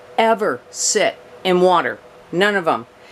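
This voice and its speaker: A woman's fairly low pitch at a fairly slow pace, with noticeable background noise. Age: 60s. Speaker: houseplant youtuber. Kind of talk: casual tutorial. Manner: chatty, conversational.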